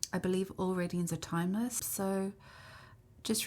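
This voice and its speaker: Her voice has a dark, mellow tone. The woman sounds somewhat breathy. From South Africa. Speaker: kinesiologist and tarot reader. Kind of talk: tarot reading to camera. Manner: casual, conversational.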